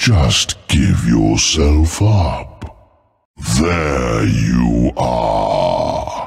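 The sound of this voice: A man speaks very slowly in a put-on character voice, pitched extremely low, with lively intonation, vocal fry and a slightly mellow tone.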